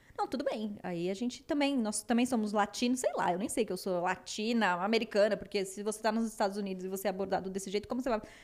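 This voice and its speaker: Speech comes at a very fast pace in a São Paulo accent, with hardly any pauses. Pitch variation is ordinary. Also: woman, fairly high pitch for a woman. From São Paulo, Brazil. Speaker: podcast co-host. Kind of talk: casual chat.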